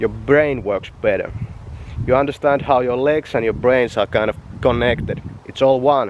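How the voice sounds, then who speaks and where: Moderate pace and fairly even intonation over noticeable background noise. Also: man. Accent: Finnish. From Finland. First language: Finnish. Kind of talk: casual vlog talk to camera. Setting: outdoors.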